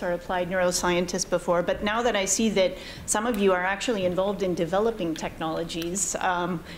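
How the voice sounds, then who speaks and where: Over noticeable background noise and audible room echo, the voice moves at a fairly quick pace with ordinary pitch variation. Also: woman. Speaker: panelist on AI ethics. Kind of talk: conference panel discussion. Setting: conference hall with audience. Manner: loud; hesitant, many fillers.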